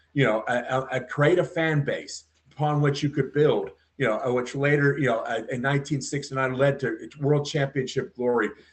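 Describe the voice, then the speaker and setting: Somewhat breathy, a man keeps fairly even intonation at a moderate pace. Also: fairly high pitch for a man. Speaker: podcast guest. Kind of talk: interview answer.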